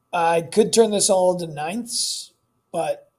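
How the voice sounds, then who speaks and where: Pitched high, a man speaks with fairly even intonation. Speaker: math teacher. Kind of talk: tutorial. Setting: recorded homework video. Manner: casual, filler words.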